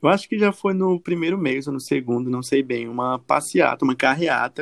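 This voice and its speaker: A man speaks at a fairly quick pace with ordinary pitch variation. His is a normal speaking voice. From Brazil, Acre. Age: 30s. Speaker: journalist. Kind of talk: casual chat.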